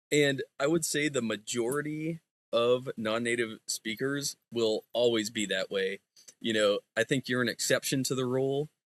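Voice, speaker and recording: With an American accent and a plain, everyday voice, a man speaks at a fairly slow pace in a dry, close sound with no echo. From United States. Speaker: Bible student. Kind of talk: casual chat.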